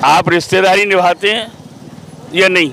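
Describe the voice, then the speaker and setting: There is noticeable background noise in this clip. The man speaking has a high pitch. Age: 70s. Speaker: member of the public. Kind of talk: street interview. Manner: animated.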